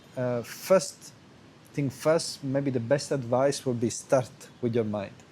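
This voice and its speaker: Over noticeable background noise, a man with a fairly high pitch speaks at a moderate pace with fairly even intonation. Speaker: qigong teacher. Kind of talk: video lesson answering student question. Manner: halting, many fillers and restarts.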